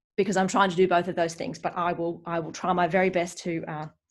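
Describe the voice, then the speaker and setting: A woman speaks with an Australian accent. Her fairly low voice stays monotone and flat. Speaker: decluttering coach. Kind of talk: live webinar presentation. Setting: live online stream. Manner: fast.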